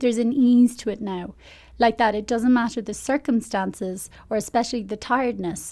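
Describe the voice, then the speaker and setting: With an Irish accent, a woman talks at a moderate pace in a dark, mellow tone with fairly even intonation. Her pitch is fairly high, and the recording is very clean with a silent background. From Ireland. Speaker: life coach. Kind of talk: podcast monologue. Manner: casual.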